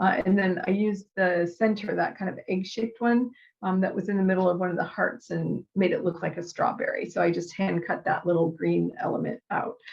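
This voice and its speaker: With vocal fry, a woman talks at a fairly quick pace and keeps her intonation fairly even. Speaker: scrapbooking crafter demonstrating tools. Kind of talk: tutorial. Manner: casual with many fillers.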